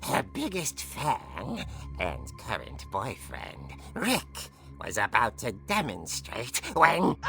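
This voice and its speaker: Set against clear background noise, a put-on character voice unfolds at a very slow pace in a theatrical tone. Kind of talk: horror comic host narration. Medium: video game. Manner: theatrical, relishing.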